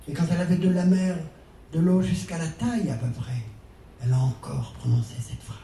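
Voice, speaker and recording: A man with a Breton accent speaks fairly quickly at a medium pitch, with lively intonation and long, frequent pauses. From Brittany, France. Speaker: storyteller. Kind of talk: storytelling to a live audience. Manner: expressive, with rhythmic repetition.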